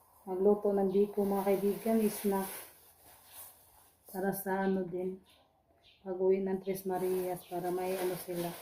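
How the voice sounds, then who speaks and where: Long, frequent pauses from a woman at a fairly slow pace, medium-pitched and monotone, flat, over noticeable background noise. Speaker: cooking vlogger. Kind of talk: casual vlog narration. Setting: home kitchen.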